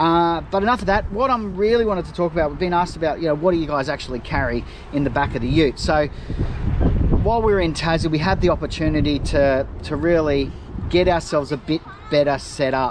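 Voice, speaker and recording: A man rushes at a very fast pace with ordinary pitch variation, in a dry sound with no echo amid noticeable background noise. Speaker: travel vlogger. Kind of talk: casual vlog chat. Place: open country. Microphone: phone near.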